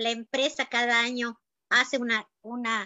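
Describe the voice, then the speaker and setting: A woman speaks in a high-pitched voice. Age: 60s. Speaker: health adviser. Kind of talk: sales pitch. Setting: video call.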